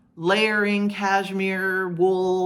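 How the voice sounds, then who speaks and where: A woman is speaking. Audible room echo is present. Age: 60s. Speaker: knitting podcaster, retired teacher. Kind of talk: casual podcast monologue. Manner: hesitant, with many fillers and repetitions.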